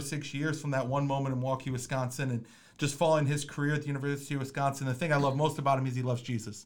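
A man with an American accent speaks at a very fast pace and a fairly high pitch. Noticeable background noise runs beneath him. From Minnesota. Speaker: podcast host and basketball coach. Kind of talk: casual chat. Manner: animated.

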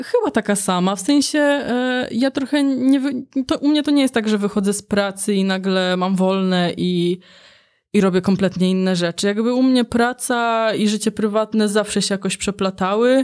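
A woman uses an ordinary speaking voice at a moderate pace, with ordinary pitch variation and very even loudness. The recording is very clean, with a silent background. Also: medium pitch for a woman. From Poland, Warsaw. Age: 30s. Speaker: video engineer and graphic designer. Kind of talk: casual interview.

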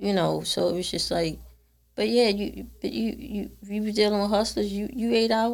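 A woman at a moderate pace, with audible room echo. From Baltimore, Maryland. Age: 50s. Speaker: podcast guest. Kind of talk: casual chat.

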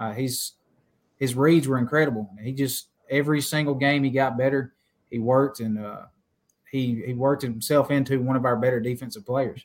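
Here a man has a plain, everyday voice with an American accent. He keeps a moderate pace. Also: medium pitch for a man, fairly even intonation. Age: 20s. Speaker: defensive coordinator and softball coach. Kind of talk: casual podcast interview.

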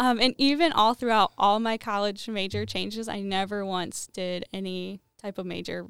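Captured in a very clean recording with a silent background, a woman has a normal speaking voice at a medium pitch with ordinary pitch variation. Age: 20s. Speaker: small business owner. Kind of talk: casual chat.

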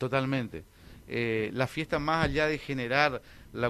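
His tone is bright and sharp at a medium pitch. The man's pitch varies in an ordinary way. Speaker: festival organizer. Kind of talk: radio interview. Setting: radio studio. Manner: halting.

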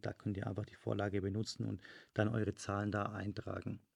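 The speech moves at a very fast pace. Vocal fry is present. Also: man. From Germany, Stuttgart (Swabia). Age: 30s. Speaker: podcast host, fitness studio owner and business coach. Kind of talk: solo podcast monologue, business advice. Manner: casual with frequent filler sounds.

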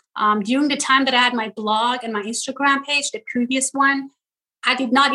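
In a Persian accent, a woman speaks at a high pitch in a bright, sharp tone with ordinary pitch variation. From Iran, Tehran. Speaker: social media comedian. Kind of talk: interview.

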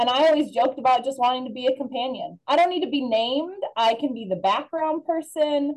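Here a woman talks with a Midwestern American accent. Her pitch sits high. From northern Illinois, Rockford area. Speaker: alumna, former missionary. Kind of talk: interview.

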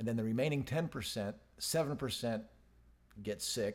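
With an unremarkable speaking voice, a man talks at a medium pitch and with ordinary pitch variation. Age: 50s. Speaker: podcast co-host and business manager. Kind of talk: casual chat.

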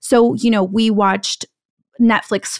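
A woman speaks in a normal speaking voice at a fairly slow pace and fairly high pitch. The sound is dry and close, with no echo. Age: 30s. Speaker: media executive turned investing educator. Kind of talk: interview.

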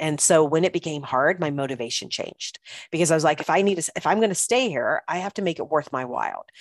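The sound is dry and close, without any echo. A woman's speech comes very fast. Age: 50s. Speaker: family coach and podcast host. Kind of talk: casual solo podcast monologue.

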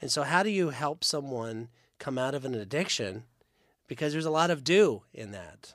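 On a very clean recording with a silent background, a man in an ordinary speaking voice speaks at a moderate pace and a fairly high pitch, with lively intonation and big swings in loudness. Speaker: church podcast host. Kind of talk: casual chat. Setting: studio.

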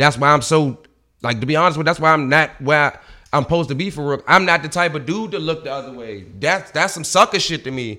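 In a very clean recording with a silent background, a man talks at a very fast pace with big swings in loudness. His fairly high, bright, sharp voice has ordinary pitch variation. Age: 30s. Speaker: comedian. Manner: animated, joking.

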